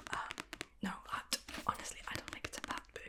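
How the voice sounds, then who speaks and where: Noticeable background noise sits behind a woman who is whispering. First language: not English. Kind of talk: ASMR book review, casual chat to camera. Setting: home recording with a Blue Yeti mic. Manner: whispered, soft, close to the mic.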